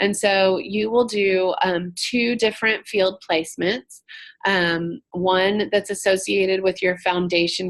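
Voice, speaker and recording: At a fairly slow pace, a woman with a normal speaking voice talks at a medium pitch with fairly even intonation. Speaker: social work professor running orientation. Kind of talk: online orientation presentation. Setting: video conference call.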